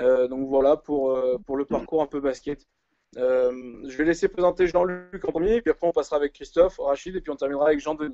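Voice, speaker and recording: The speaker is a man with fairly high pitch. He talks at a fairly quick pace. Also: ordinary pitch variation. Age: 20s. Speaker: live show host, basketball coach. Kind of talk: live online panel discussion. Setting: live video stream. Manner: hesitant, many fillers.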